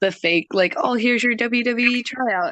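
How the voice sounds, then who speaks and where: With an American accent, a woman speaks in a bright, sharp tone. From United States. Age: young. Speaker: professional wrestler. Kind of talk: interview. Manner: halting.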